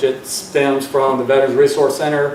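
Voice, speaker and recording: A man speaks at a moderate pace in a medium pitch, his intonation monotone and flat, with noticeable background noise and audible room echo. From US South, Georgia. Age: 40s. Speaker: student veteran. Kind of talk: personal testimony speech. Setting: board meeting audience. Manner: halting, many fillers.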